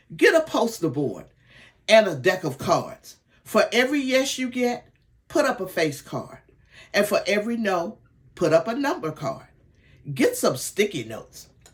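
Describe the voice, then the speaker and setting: Using very wide pitch swings from a fairly high base, a woman with vocal fry speaks at a moderate pace with long, frequent pauses. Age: 70s. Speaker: sales director and mentor. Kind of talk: training talk. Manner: enthusiastic, motivational.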